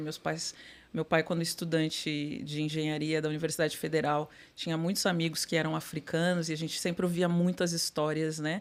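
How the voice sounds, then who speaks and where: A woman's very deep, low voice in a flat monotone, on a very clean recording with a silent background. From Brazil, Porto Alegre. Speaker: corporate sustainability executive. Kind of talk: podcast interview. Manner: halting, many fillers.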